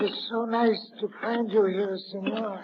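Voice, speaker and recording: Whispering in a raspy, put-on character voice, a woman speaks at a fairly slow pace over clear background noise. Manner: whispering, polite.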